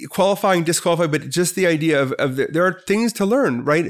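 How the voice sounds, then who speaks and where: A man with an American accent talks at a fairly quick pace in a normal speaking voice, with ordinary pitch variation, on a very clean recording with a silent background. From US Midwest (Milwaukee, Wisconsin). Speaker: business professor. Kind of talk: casual interview.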